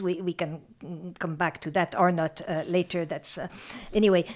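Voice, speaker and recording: A woman talks at a fairly low pitch with a French accent. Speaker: professor emerita of literature and gender studies. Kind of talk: academic interview. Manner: halting, hesitant with many fillers.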